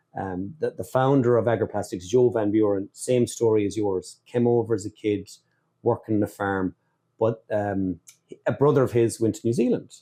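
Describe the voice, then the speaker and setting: A man with an Irish accent speaks at a moderate pace, fairly low in pitch with a dark, mellow tone. His intonation stays fairly even against a quiet background. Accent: Irish accent, noted by others. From Ireland. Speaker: podcast host, dairy business. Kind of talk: casual interview chat. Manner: halting, repeats words.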